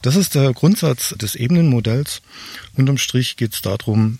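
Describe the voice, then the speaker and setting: Somewhat breathy, a man's voice comes through in a dry, close sound with no echo. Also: very clean recording, silent background. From Swabia, southern Germany. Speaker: online marketing expert and keynote speaker. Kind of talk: interview, explaining concepts. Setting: outdoors in a garden.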